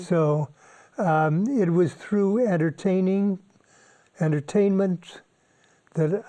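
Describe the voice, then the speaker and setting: A man's high-pitched voice with a dark, mellow tone, ordinary pitch variation and a very slow pace. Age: 80s+. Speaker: retired environmental studies professor. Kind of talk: interview answer.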